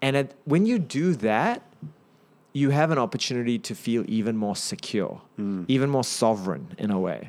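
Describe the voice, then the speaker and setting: Over a silent background in a very clean recording, a man speaks with a New Zealand accent. His pitch is medium, his intonation lively, and his pace moderate. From New Zealand (Auckland), raised partly in Singapore, born in India. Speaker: businessman and startup advisor. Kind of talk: casual interview chat.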